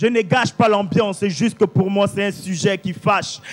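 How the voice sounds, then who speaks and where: A man speaks with ordinary pitch variation. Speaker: slam poet. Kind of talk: slam poetry performance. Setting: live stage.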